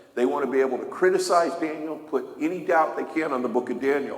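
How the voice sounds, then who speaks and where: A man talks at a moderate pace in a room with audible echo and noticeable background noise. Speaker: Bible teacher. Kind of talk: sermon.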